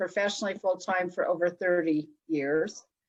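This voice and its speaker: A woman talks at a fairly quick pace. She has a western US accent. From Utah, Salt Lake City. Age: 60s. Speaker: psychic and hypnotherapist. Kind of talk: interview.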